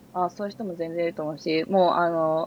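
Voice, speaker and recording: A woman is speaking. Her pace is fairly quick. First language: bilingual Japanese and English (speaking Japanese). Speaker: software engineer. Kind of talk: casual tech interview.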